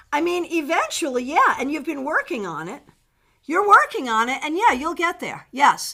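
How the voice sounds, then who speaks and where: In a very clean recording with a silent background, a woman uses a raised, projected voice with a bright, sharp tone, very wide pitch swings and a moderate pace. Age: 60s. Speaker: tarot reader. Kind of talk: live-stream tarot reading answering viewer questions. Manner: casual and animated.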